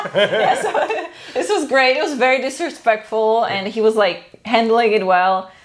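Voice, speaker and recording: Lively intonation marks the woman's moderate-paced speech, heard over noticeable background noise. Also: fairly high pitch for a woman. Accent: Czech. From Czech Republic. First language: Czech. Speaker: co-host of film and TV review channel. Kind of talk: casual chat.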